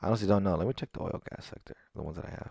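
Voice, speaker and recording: A man with a fairly low voice talks at a very fast pace on a very clean recording with a silent background. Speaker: stock trader recapping trades. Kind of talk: screen-share trading recap. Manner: halting, filler-heavy.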